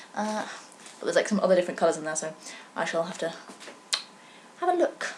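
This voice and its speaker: Noticeable background noise accompanies a woman speaking with a British accent. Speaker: knitting podcaster. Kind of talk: casual vlog chat. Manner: fast; stuttering, slurred words.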